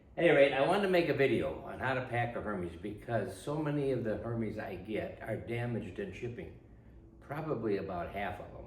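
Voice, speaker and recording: A medium-pitched male voice at a fairly quick pace, lively in intonation, with audible room echo and noticeable background noise. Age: 80s+. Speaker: retired typewriter dealer and restorer. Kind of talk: tutorial.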